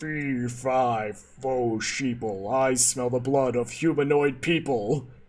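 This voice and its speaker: Using a put-on character voice, a man speaks at a very slow pace and medium pitch, with hardly any pauses. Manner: menacing, theatrical.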